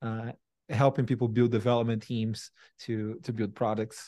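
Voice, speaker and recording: Against a quiet background, a man with a Brazilian accent talks at a moderate pace and medium pitch in a dark, mellow tone. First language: Portuguese. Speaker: tech company CEO and founder. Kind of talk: interview conversation. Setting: video call.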